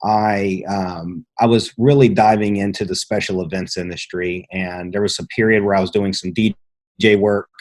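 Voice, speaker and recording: A man speaks at a fairly low pitch with an American accent. His intonation stays fairly even. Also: moderate pace. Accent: slight mountain twang. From Southwest Virginia, rural mountains. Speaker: entrepreneur, lighting business owner. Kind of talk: interview, personal story. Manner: halting, many fillers and restarts.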